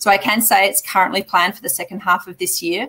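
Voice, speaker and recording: A woman with an Australian accent, a medium pitch and a bright, sharp tone. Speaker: mining company executive. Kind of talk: investor Q&A. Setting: live online investment summit.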